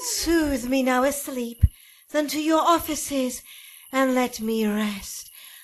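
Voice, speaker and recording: Putting on a character voice, a woman speaks at a high pitch. Her pace is fairly slow. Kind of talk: Shakespeare radio drama.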